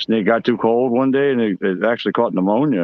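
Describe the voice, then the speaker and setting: The pace of this man's speech is very fast. Pitch varies in an ordinary way. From Louisiana, New Orleans area. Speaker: aquarium and reptile livestream host. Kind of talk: casual livestream chat.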